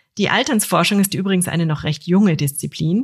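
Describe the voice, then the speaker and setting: Intonation rises and falls in a lively way. There is a somewhat breathy quality to the voice. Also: woman. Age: 40s. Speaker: podcast host. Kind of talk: scripted narration.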